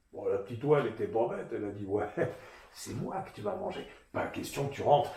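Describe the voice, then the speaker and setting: Noticeable background noise sits under a man's speech. He talks fairly quickly at a fairly high pitch, with very wide pitch swings. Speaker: storyteller. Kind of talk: children's storytelling, tale told to an audience. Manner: lively, expressive, playful.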